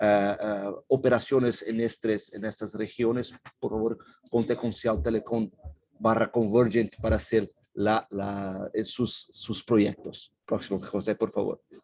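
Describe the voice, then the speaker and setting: With a Portuguese accent, a man talks at a very slow pace in a monotone, flat intonation and a medium pitch. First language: Portuguese (speaking Spanish). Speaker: company representative presenting. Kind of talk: webinar presentation. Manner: halting.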